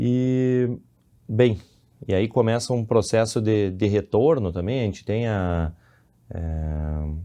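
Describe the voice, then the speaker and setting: At a very slow pace with long, frequent pauses, the voice has a dark, mellow tone and ordinary pitch variation against a quiet background. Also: man, fairly low pitch for a man. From Brazil, Rio Grande do Sul (Santa Maria). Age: 30s. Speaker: civil engineer and businessman. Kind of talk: podcast interview. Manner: halting, with repetitions.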